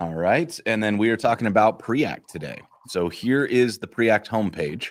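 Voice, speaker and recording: Mumbling at a moderate pace, a man speaks at a fairly low pitch with lively intonation. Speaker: live coding show host. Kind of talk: live coding tutorial chat. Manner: casual, hesitant with fillers.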